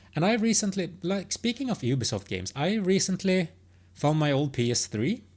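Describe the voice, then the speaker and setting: Speaking at a moderate pace with a non-native accent, a woman uses a fairly low pitch with very wide swings and vocal fry. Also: very clean recording, silent background. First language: not English. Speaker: gaming commentator. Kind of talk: opinion monologue. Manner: halting, many false starts.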